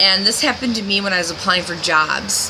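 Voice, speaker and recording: Background noise is noticeable throughout. The speaking pace stays moderate. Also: woman. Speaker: video blogger. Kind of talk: video diary monologue.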